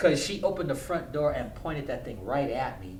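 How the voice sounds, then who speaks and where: A man at a fairly quick pace with ordinary pitch variation, plus audible room echo and noticeable background noise. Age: 50s. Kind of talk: casual chat.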